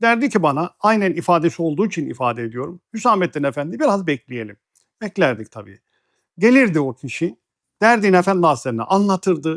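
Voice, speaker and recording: A man talks at a fairly quick pace in a high pitch. His pitch swings very widely. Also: dry, close sound with no echo, very clean recording, silent background. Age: 60s. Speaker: religious teacher. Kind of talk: religious talk, personal memoir. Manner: measured, formal.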